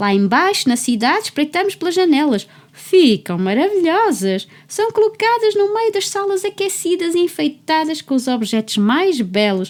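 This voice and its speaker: This woman uses a put-on character voice at an extremely high pitch, with very wide pitch swings. She barely pauses at all. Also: moderate pace. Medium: read story. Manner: chirping.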